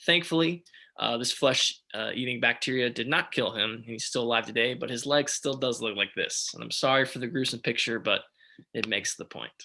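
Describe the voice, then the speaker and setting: A man's bright, sharp voice at a medium pitch, fairly even in intonation and fairly quick, over a quiet background. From Texas. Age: 20s. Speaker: startup founder. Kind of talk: startup pitch presentation.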